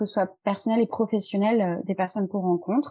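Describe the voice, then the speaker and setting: A woman's fairly high, somewhat breathy voice. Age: 30s. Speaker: wealth management advisor. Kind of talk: interview.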